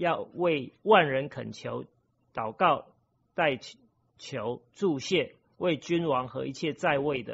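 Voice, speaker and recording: A man's very slow delivery with ordinary pitch variation. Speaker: lay preacher. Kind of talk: sermon. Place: church.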